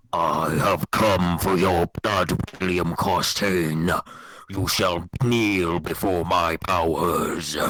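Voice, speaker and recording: Putting on a character voice, a man speaks very slowly in a raspy, very deep and low register. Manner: menacing, commanding.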